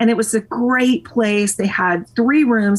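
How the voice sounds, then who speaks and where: A somewhat breathy woman with an American accent, at a moderate pace. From US South, Nashville, Tennessee. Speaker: podcast interview guest, fitness enthusiast. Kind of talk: casual chat.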